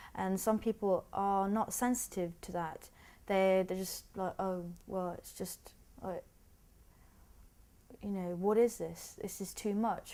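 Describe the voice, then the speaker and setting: A woman with a London accent speaks at a very slow pace in a monotone, flat intonation, her dark, mellow tone at a medium pitch, broken by long, frequent pauses on a very clean recording with a silent background. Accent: British English (London). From England, British Bengali. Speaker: artist. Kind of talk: documentary interview. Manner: halting, with frequent repetitions.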